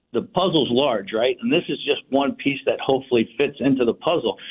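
A man with a plain, everyday voice, lively intonation and a fairly quick pace. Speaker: restaurant owner and community organizer. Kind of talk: radio interview. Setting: phone line.

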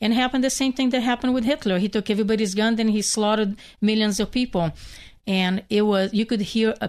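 Over a quiet background, a woman with a Hungarian accent speaks at a medium pitch. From Hungary. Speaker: bereaved mother and activist. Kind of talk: radio interview.

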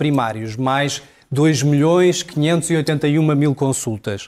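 The man's fairly high pitch comes with fairly even intonation. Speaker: political commentator. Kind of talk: televised political debate.

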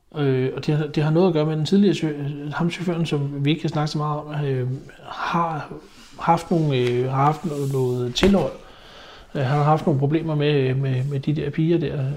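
A man speaks at a moderate pace with a fairly high pitch and fairly even intonation, with audible room echo. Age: 50s. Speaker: haulage business owner. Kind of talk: interview testimony. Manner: hesitant, many fillers.

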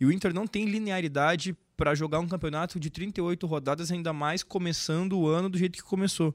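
This man has a normal speaking voice, fairly even intonation and a fairly quick pace. The recording is very clean with a silent background and a dry, close sound with no echo. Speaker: football fan influencer. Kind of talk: casual football chat.

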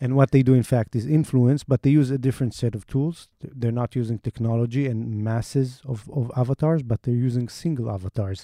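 With an Israeli accent, a man speaks at a fairly quick pace and medium pitch, his dark, mellow tone fairly even in intonation, in a dry, close sound with no echo. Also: very clean recording, silent background. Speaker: investigative reporter. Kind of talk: interview. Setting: studio.

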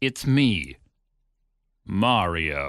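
A man puts on a character voice with an Italian accent, very deep and low in pitch, swinging very widely up and down. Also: quiet background. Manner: comically exaggerated.

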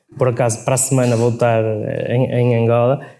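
Amid audible room echo, a man of medium pitch speaks at a fairly quick pace with a monotone, flat intonation. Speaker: logistics company CEO. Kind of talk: live interview. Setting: stage with audience. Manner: halting, many repetitions.

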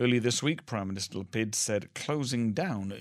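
This is a normal speaking voice from a man with a fairly low pitch and ordinary pitch variation. He keeps a moderate pace on a very clean recording with a silent background. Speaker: radio newsreader. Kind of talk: newsreading: scripted, formal radio bulletin read steadily and evenly. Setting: studio. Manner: formal, measured, neutral and steady pace.

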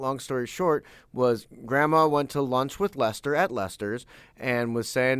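A man with an American accent speaks in a very clean recording against a silent background. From Saint Louis, US Midwest. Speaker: podcast host. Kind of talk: casual interview chat.

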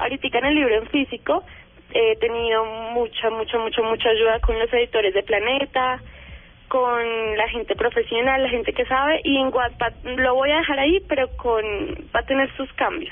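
Against music in the background, a woman with a high pitch talks at a moderate pace with very even loudness and ordinary pitch variation. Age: young. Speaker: young author. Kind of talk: interview.

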